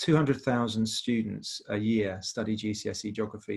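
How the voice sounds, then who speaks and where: A man with a British accent speaks in a somewhat breathy, fairly low voice with fairly even intonation. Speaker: industry charity representative. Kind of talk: webinar presentation. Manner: fast.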